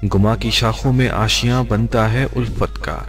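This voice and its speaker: A man's very deep, low voice over music in the background. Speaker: radio jockey, poetry reader. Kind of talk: poetry reading.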